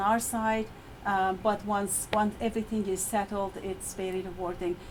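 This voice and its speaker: At a moderate pace, a woman talks in a fairly high pitch with an Iranian accent. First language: Persian. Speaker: university lecturer. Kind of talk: presentation. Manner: halting.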